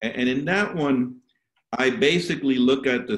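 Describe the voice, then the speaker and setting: Speaking at a moderate pace with a medium pitch, a man has a plain, everyday voice. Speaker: professor. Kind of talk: webinar talk. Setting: video call webinar.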